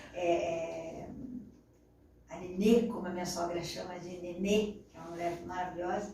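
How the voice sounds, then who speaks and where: A woman's fairly low voice at a moderate pace, flat and monotone, with long, frequent pauses, big swings in loudness, audible room echo and noticeable background noise. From Brazil, interior of São Paulo state. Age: 40s. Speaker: journalist and radio broadcaster. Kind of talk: interview.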